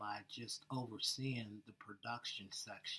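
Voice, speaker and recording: A soft-spoken man with an American accent at a fairly slow pace. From Pennsylvania, West Mifflin (Pittsburgh area). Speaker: air force veteran, job candidate. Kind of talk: job interview.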